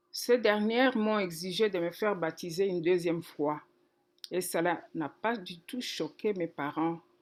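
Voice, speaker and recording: Against a very clean, silent background, a woman with a normal speaking voice talks at a fairly slow pace, using a fairly low pitch and ordinary pitch variation. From DR Congo, Kikwit. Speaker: pastor. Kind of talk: testimony.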